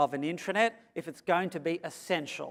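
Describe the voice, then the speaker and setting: A man with an Australian accent speaks at a moderate pace with ordinary pitch variation. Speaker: consultant and conference speaker. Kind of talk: keynote presentation. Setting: stage with audience. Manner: animated.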